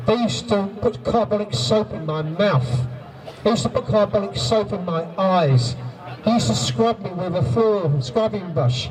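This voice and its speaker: Over noticeable background noise, a man with a high pitch speaks at a moderate pace, his pitch swinging very widely. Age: 60s. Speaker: abuse survivor speaking at a rally. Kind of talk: testimony.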